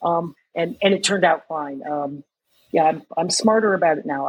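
Going at a fairly slow pace, the speaker uses a plain, everyday voice with ordinary pitch variation. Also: woman. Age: 60s. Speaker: running group founder and marathon runner. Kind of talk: casual interview.

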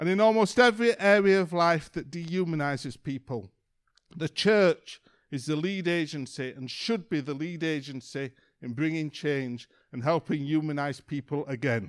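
With a Yorkshire accent, a man talks at a moderate pace and fairly high pitch on a very clean recording with a silent background. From Yorkshire, northern England. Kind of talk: sermon.

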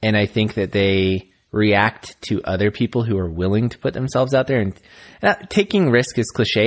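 In a very clean recording with a silent background, a man with a fairly low pitch uses an ordinary speaking voice, ordinary pitch variation and a moderate pace. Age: 30s. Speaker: podcast co-host. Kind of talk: casual chat.

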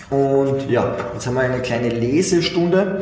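At a fairly slow pace, a man of medium pitch speaks with very wide pitch swings. Audible room echo and noticeable background noise surround him. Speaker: finance podcast host. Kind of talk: casual monologue.

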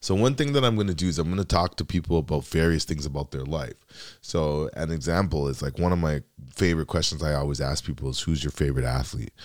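A man's very deep, low voice at a very fast pace with hardly any pauses and ordinary pitch variation. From Canada (Dominican background). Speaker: podcast host, mortgage broker. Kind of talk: solo podcast monologue.

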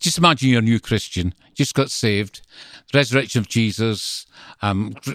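A strong Glasgow accent in a dry, close sound with no echo. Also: man, very clean recording, silent background. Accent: strong Glaswegian Scottish. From Scotland, Greenock near Glasgow. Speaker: visiting minister. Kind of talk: interview conversation.

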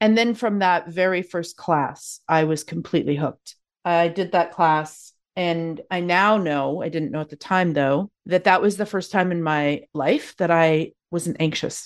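A woman with a Canadian accent has a normal speaking voice, fairly low in pitch. She talks at a fairly slow pace with ordinary pitch variation. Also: quiet background. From Canada, Calgary, Alberta. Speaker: yoga therapist. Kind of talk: interview conversation.

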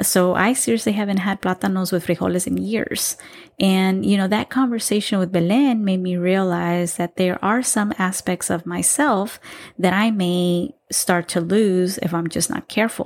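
With a plain, everyday voice, a woman speaks at a moderate pace and medium pitch on a very clean recording with a silent background. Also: ordinary pitch variation. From Texas, Salvadoran-American family. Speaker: podcast host. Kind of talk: casual solo monologue.

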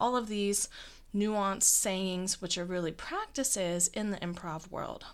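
A woman speaks in a plain, everyday voice at a medium pitch, with ordinary pitch variation and a fairly slow pace. The recording is very clean, with a silent background. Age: 20s. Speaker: podcast host and improviser. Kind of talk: solo podcast monologue.

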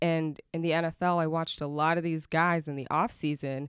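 A woman's normal speaking voice with an American accent at a moderate pace, in a dry, close sound with no echo. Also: very clean recording, silent background. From Oklahoma. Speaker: cannabis activist and entrepreneur. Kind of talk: interview.

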